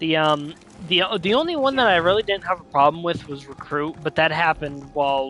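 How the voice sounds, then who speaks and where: With music in the background, the talking moves along at a moderate pace. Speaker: gaming streamer. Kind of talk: casual gameplay commentary.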